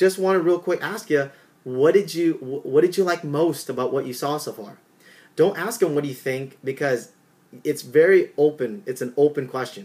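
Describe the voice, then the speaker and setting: The delivery moves at a moderate pace with ordinary pitch variation and long, frequent pauses. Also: man. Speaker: network marketing trainer. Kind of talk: tutorial. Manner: animated.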